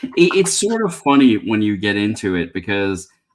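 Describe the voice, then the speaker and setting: A man with a New York accent speaks at a moderate pace and a fairly low pitch. The recording is very clean, with a silent background. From New York City (Bronx). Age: 50s. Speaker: beer reviewer. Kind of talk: casual chat.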